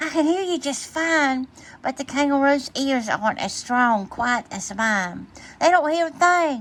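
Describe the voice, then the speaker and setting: Using a put-on character voice, a woman speaks at a moderate pace in a high pitch. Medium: read story.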